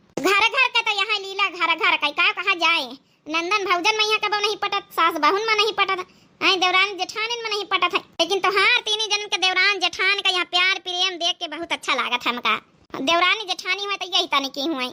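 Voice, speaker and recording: A woman's cartoonish character voice, extremely high-pitched and fairly quick. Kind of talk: rustic Awadhi village comedy. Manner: gentle, homely.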